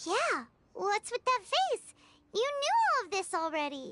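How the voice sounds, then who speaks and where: A squeaky, extremely high-pitched put-on character voice at a fairly slow pace, with very wide swings in pitch. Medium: video game. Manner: excitable, chirpy.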